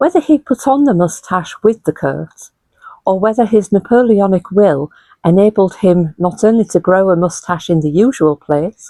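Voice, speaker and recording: Speaking with a Hull accent, a woman has a dark, mellow tone at medium pitch with ordinary variation. She talks at a fairly slow pace in a dry, close sound with no echo. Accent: Hull, northern English. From Hull, England. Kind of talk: literary essay reading. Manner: clear.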